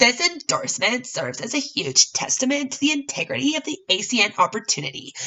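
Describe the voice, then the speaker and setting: Someone puts on a robotic character voice at a fairly high pitch, racing at a very fast pace with very wide pitch swings. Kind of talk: formal, salesy. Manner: exaggerated, robotic, put-on.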